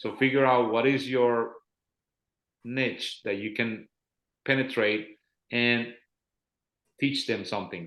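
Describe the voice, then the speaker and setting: A man talks very slowly at a medium pitch with fairly even intonation. Long pauses come often. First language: Spanish. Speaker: life insurance agent and trainer. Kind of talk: casual chat.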